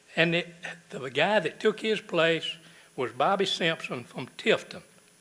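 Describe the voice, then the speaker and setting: Speaking fairly slowly with an American accent, a man is heard against noticeable background noise. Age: 80s+. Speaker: hall of fame inductee. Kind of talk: acceptance speech. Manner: halting.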